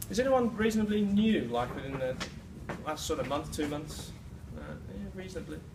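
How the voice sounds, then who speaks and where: A man at a fairly quick pace with long, frequent pauses, amid audible room echo and noticeable background noise. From UK. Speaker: presenter at a sales meeting, fitness trainer. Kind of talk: sales presentation. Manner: hesitant fillers.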